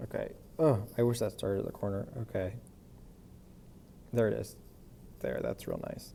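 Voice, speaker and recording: A man speaks at a moderate pace, stopping often for long pauses. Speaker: math teacher. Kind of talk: recorded lesson. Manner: casual, thinking aloud.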